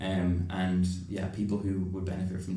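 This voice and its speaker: Flat, monotone intonation with audible room echo and noticeable background noise. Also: man. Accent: Irish. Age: 20s. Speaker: junior doctor in psychiatry. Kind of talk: casual interview. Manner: halting.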